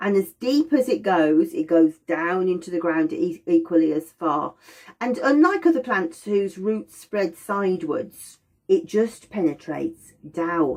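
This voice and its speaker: Quietly and at a fairly slow pace, a woman speaks at medium pitch with lively intonation. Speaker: aromatherapy teacher. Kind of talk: lecture. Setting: indoors by a window. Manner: slower and quieter.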